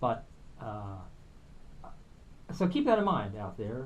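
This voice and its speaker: Audible room echo surrounds a man speaking at a medium pitch. His voice is somewhat breathy with lively intonation. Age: 60s. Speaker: musician and filmmaker. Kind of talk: radio interview. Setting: radio studio.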